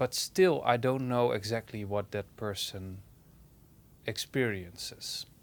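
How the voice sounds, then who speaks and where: Speaking very slowly with a Dutch accent, a man uses a fairly low pitch with ordinary pitch variation. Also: very clean recording, silent background. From Netherlands. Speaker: hi-fi reviewer and online publisher. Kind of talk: personal opinion monologue. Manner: halting.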